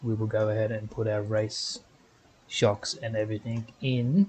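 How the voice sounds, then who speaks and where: A man, somewhat breathy, at a fairly slow pace. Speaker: gaming video creator. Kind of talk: gameplay commentary.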